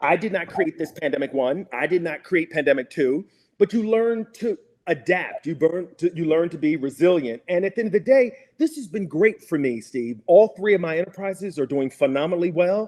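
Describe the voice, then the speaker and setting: This man speaks with an American accent at a high pitch. His intonation is lively. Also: fairly quick pace. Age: 50s. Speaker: PR agency founder. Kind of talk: interview.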